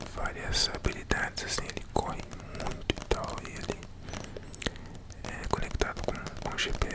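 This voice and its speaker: Fairly slow whispering broken by long, frequent pauses, over noticeable background noise. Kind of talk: ASMR casual talk to camera. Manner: whispered.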